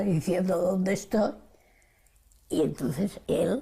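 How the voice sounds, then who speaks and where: A woman speaks at a very slow pace with a dark, mellow tone. Vocal fry runs through her voice. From Spain. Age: 80s+. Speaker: Spanish Civil War exile and Stalingrad survivor. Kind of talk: interview answer.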